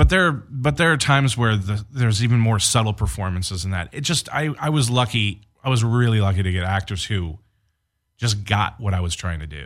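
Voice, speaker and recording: An American man talks at a fairly quick pace in a fairly low voice with lively intonation. It is an ordinary speaking voice. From Detroit area, Michigan. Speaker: film director and producer. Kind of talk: casual chat.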